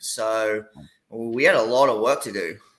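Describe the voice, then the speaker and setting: This voice has an Australian accent and a bright, sharp tone. Its intonation stays fairly even. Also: man. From Australia, Gold Coast. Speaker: college soccer coach. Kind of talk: casual interview. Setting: video call.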